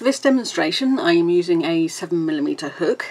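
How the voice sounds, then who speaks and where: A woman with a British accent speaks at a fairly quick pace. Noticeable background noise sits behind her voice. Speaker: crochet teacher. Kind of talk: tutorial. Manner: casual, with fillers.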